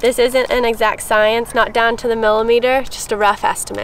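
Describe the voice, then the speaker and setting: Her intonation is flat and monotone, at a fairly quick pace. The woman's recording is dry with no echo, with light background noise. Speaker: presenter. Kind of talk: tutorial. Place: open country.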